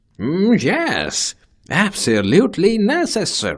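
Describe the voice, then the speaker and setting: Using a cartoonish character voice, a man speaks fairly slowly at a high pitch. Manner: calm, confident.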